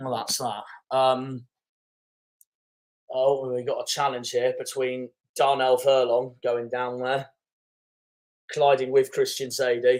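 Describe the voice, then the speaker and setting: In a West Country accent, a man speaks at a fairly slow pace with monotone, flat intonation and long, frequent pauses. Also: medium pitch for a man. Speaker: football fan streamer. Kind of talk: live football watchalong commentary. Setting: live stream.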